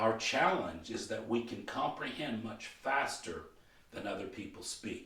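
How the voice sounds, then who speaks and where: Fairly slow speech from a man, carrying audible room echo. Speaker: motivational coach and trainer. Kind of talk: training video lecture. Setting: filmed training video.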